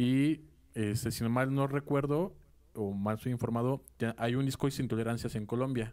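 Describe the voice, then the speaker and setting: A dark, mellow tone at a fairly slow pace with very even loudness. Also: man, medium pitch for a man, ordinary pitch variation. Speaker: radio podcast co-host. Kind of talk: casual interview.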